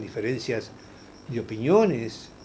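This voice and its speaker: A medium-pitched man speaks with lively intonation. Audible room echo surrounds his voice. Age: 60s. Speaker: politician. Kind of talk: interview. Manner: hesitant, many fillers.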